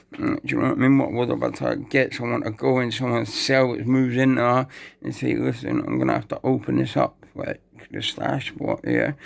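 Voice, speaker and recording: A man delivers his words at a fairly quick pace, with noticeable background noise behind him. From Scotland. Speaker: YouTuber telling prison stories. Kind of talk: casual storytelling monologue. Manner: rambling with many fillers and stammers. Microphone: poor equipment, may be hard to understand.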